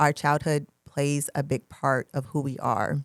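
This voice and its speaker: A woman's very deep, low voice with vocal fry and an American accent, in a dry, close sound with no echo. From US South, Georgia. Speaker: podcast host. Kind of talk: casual chat.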